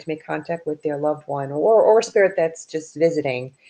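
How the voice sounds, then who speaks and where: A woman with an American accent speaks at a fairly quick pace in a dark, mellow tone. Her pitch varies in an ordinary way. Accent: Bronx accent, comes out when angry. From New York, the Bronx. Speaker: author and paranormal investigator. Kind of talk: casual interview chat.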